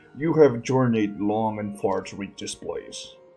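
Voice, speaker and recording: A put-on character voice goes at a fairly slow pace with big swings in loudness. Faint music plays in the background. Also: man, medium pitch for a man. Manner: put-on deep voice.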